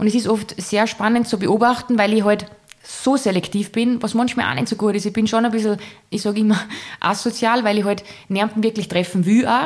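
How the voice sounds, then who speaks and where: A woman talks in an ordinary speaking voice, pitched fairly high. Her pace is moderate and her intonation fairly even. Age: 30s. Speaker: entrepreneur and influencer. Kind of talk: casual interview chat.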